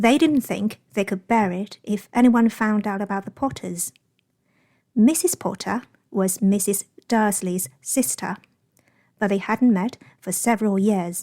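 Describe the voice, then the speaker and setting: A woman with a British accent, medium-pitched and dark and mellow in tone, at a fairly slow pace with ordinary pitch variation and long, frequent pauses, in a very clean recording with a silent background. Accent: British English (learned). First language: Chinese. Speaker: English teacher. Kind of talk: audiobook-style novel reading.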